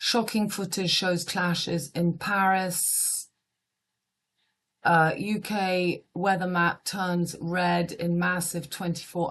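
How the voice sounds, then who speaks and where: Speech in a British accent comes at a very slow pace with monotone, flat intonation. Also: woman. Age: 50s. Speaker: astrologer. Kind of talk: casual monologue reading headlines. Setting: at home. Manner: quiet.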